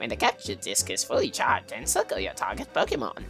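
Over clear background music, a man rattles off lines very fast in a put-on character voice. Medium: solo performance. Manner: formal, grandmotherly.

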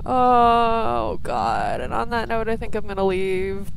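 Noticeable background noise sits behind a woman whose fairly high pitch carries lively intonation. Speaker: gaming YouTuber. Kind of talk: let's play commentary. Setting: online voice chat with a friend. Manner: animated, laughs often.

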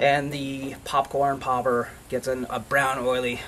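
A man's monotone, flat delivery over light background noise. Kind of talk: tutorial. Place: garden. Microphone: camera far.

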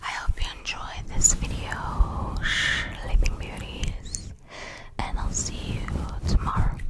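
Whispering at a very slow pace, a woman stays soft-spoken throughout. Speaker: ASMR creator. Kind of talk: ASMR whispering. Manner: soft close-mic ASMR whisper. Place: home room. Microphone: studio mic.

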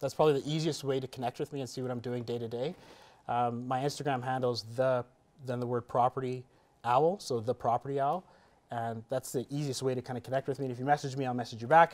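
A man speaks with a Canadian accent. His pace is very fast and his intonation fairly even. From Canada. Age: 30s. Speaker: entrepreneur and real estate investor; interview guest. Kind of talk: interview. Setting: studio. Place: studio.

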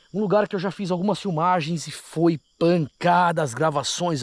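The man's voice sounds dry, with no echo at all. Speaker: paranormal investigator vlogger. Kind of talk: casual vlog chat. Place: open country. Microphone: phone near.

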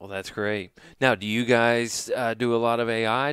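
An unremarkable speaking voice from a man at a medium pitch and moderate pace, on a very clean recording with a silent background. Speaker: podcast host. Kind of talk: interview.

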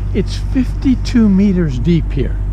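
A man talks with a very deep, low pitch and fairly even intonation. The sound is dry with no echo, with noticeable background noise. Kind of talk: casual vlog chat. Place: boat. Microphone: phone near.

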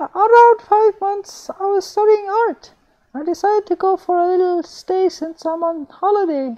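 In a put-on character voice, a man goes squeaky and extremely high in pitch. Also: moderate pace. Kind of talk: horror story reading. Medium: read story. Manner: chatty.

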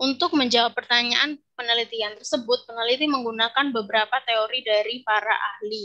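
With hardly any pauses, a woman talks at a fairly quick pace in a fairly high pitch, her tone bright and sharp, her loudness very even and her intonation fairly even, over a quiet background. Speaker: English lecturer. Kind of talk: conference presentation. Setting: video call. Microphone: video call.

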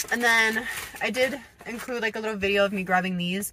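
A woman is heard with light background noise. The sound is dry with no echo. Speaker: lifestyle vlogger. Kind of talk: casual vlog chat. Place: car. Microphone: phone near.

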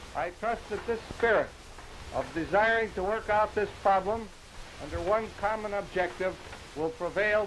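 A man with an American accent at a high pitch, moderate pace and fairly even intonation, over light background noise. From Milwaukee, Wisconsin. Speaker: city mayor. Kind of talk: ceremonial public speech. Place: open country. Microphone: podium.

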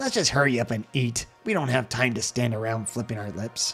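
A man puts on a character voice at medium pitch and a fairly quick pace. Clear music plays in the background. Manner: angry, barking.

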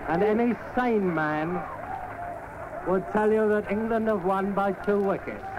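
Amid noticeable background noise, a man speaks in a high voice with fairly even intonation. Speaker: cricket commentator. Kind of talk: live radio sports commentary. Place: stadium. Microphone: old recording.

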